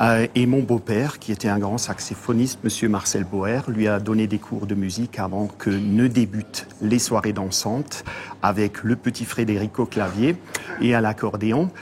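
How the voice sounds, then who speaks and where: Over noticeable background noise, a man talks at a fairly slow pace and fairly low pitch with fairly even intonation. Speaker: accordionist. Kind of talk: interview.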